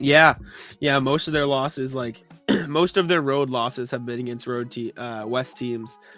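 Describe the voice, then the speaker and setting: Music in the background behind a man at a moderate pace, his intonation fairly even. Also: medium pitch for a man. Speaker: podcast co-host. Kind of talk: casual sports podcast talk.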